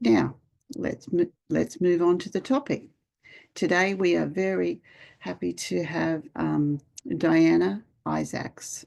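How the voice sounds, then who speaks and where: Against a quiet background, a woman speaks with an Australian accent. She goes at a very slow pace with long, frequent pauses. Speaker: nurse and webinar moderator. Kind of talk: webinar introduction. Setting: online webinar.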